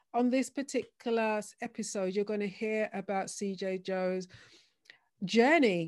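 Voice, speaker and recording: The recording is very clean, with a silent background, as a woman speaks in an unremarkable speaking voice. Her medium pitch moves with fairly even intonation at a moderate pace. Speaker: podcast host. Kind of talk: interview.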